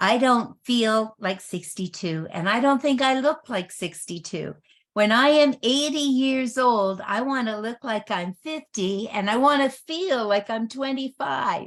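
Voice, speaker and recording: In an unremarkable speaking voice, a woman talks at a fairly slow pace and a fairly high pitch, with lively intonation and hardly any pauses. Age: 60s. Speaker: network marketing presenter. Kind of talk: sales presentation.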